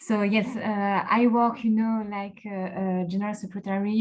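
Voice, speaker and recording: A woman's medium-pitched, somewhat breathy voice in a strong French accent, flat and monotone at a moderate pace. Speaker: local politics executive director and consultant. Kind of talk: panel discussion. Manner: halting, many fillers.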